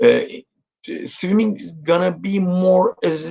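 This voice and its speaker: Lively intonation from a man with a Turkish accent, at a very slow pace. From Turkey. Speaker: swimming coach. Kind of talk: interview. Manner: halting, many fillers.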